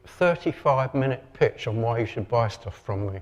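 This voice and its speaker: Noticeable background noise accompanies a man speaking at a fairly quick pace with a Lancashire accent. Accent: northern English (Lancashire). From northern England, Lancashire. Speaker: marketing expert and copywriter. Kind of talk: conference talk.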